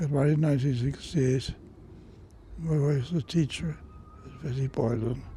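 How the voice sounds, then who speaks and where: With a dark, mellow tone and a fairly high pitch, a man talks at a moderate pace, sounding somewhat breathy and leaving long, frequent pauses. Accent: Cork. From Ireland, Cork. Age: 80s+. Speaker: centenarian, war veteran. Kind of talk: interview reminiscence. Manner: halting.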